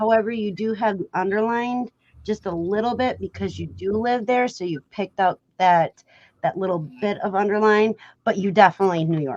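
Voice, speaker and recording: Someone talks at a moderate pace with an American accent and ordinary pitch variation, the sound dry and close with no echo. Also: woman, medium pitch for a woman. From Wisconsin, US Midwest (early childhood in Florida). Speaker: livestream host. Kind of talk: casual chat.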